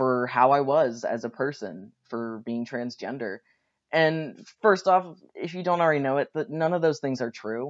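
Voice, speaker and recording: With a quiet background, a man speaks at a moderate pace in an unremarkable speaking voice, his fairly high pitch carrying lively intonation. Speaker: graduate student speaking on a panel. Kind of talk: recorded talk for a class panel. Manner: casual, with fillers.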